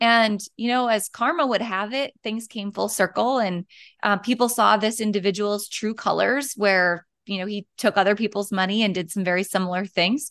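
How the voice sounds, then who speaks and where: A woman with a plain, everyday voice speaks with an American accent and medium pitch. Her pitch varies in an ordinary way over a quiet background. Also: moderate pace. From North Dakota, US. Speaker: boutique business founder. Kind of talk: interview conversation.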